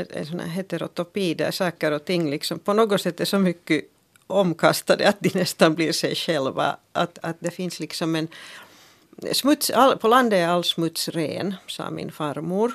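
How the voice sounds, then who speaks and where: A plain, everyday voice from a woman, fairly low in pitch with ordinary variation, at a moderate pace, on a very clean recording with a silent background and a dry, close sound with no echo. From Finland, Helsinki (Swedish-speaking). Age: 50s. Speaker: journalist and author. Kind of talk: radio discussion. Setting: studio.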